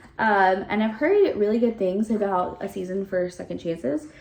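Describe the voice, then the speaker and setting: A woman speaks in an animated tone with ordinary pitch variation amid noticeable background noise. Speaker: book reviewer. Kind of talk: casual chat.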